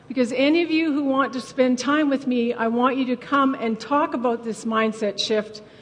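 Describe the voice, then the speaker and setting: A woman speaks in a Canadian accent at a moderate pace, her tone animated and her pitch variation ordinary. Noticeable background noise is present. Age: 60s. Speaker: farm family coach. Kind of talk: conference talk. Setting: stage with audience.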